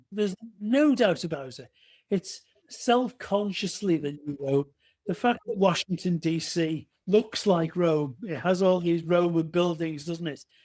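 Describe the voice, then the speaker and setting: With an English accent, a man speaks high in pitch at a fairly slow pace, his pitch varying in an ordinary way. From England. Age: 60s. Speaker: retired police officer and author. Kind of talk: interview.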